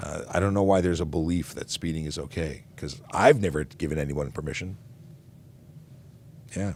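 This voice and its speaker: A man speaks in a very deep, low voice with vocal fry and ordinary pitch variation. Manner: casual, conversational, slightly halting.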